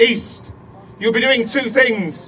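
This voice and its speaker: A man talks at a fairly slow pace in an extremely high pitch with ordinary pitch variation. Noticeable background noise is present. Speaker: politician. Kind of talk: campaign speech.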